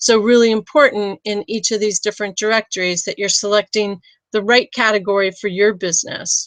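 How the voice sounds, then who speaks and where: A woman talks in a normal speaking voice at medium pitch. Her pace is fairly quick. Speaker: business consultant. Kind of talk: webinar tutorial.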